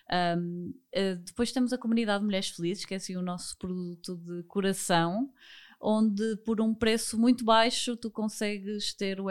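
A woman speaks at a medium pitch and a moderate pace, with a normal speaking voice. Her intonation stays fairly even, and the recording is very clean with a silent background. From Porto, northern Portugal. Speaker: finance educator, entrepreneur. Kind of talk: podcast interview.

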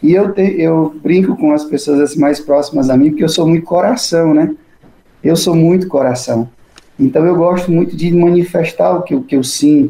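Speaking at a high pitch with ordinary variation, a man keeps his loudness very even. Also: moderate pace. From Brazil, interior of Ceará. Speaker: Capuchin friar and priest, author. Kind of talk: interview.

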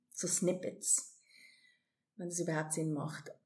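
A woman speaks at a fairly slow pace. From South Africa and Hong Kong, moved to Switzerland at 17. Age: 40s. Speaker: amateur triathlete. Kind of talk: interview, personal story.

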